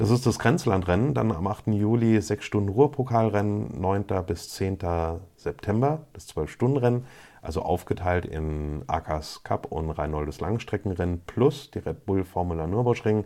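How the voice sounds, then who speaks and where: A man speaks with a fairly low pitch and a dark, mellow tone, his intonation lively, on a very clean recording with a silent background. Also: moderate pace. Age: 30s. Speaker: motorsport podcaster. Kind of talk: solo podcast monologue.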